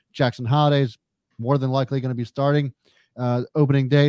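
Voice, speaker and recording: A man with an American accent talks at a very fast pace and medium pitch. The sound is dry and close with no echo, and the background is quiet. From Carroll County, Maryland. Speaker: sports podcast co-host. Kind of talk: casual chat.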